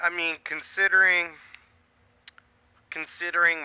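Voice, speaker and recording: A man shouts loudly in a high-pitched voice. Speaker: gaming livestreamer. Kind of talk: casual livestream commentary. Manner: loud, yelling.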